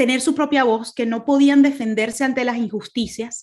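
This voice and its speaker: A woman talks at a fairly quick pace with a Venezuelan accent. Her pitch is high, with ordinary variation. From Venezuela, Caracas. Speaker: speaker, human rights lawyer. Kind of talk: testimony talk. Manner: hesitant, many fillers.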